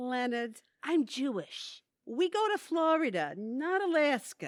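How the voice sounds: Using a put-on character voice, a woman talks at a slow pace in a high pitch with big pitch swings, over a very clean recording with a silent background.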